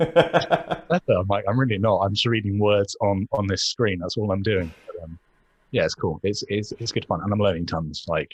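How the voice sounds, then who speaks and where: In an English accent, the speaker talks at a moderate pace, somewhat breathy, with a dry, close sound and no echo. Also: man, fairly low pitch for a man. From England. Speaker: podcaster and blogger. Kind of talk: casual chat.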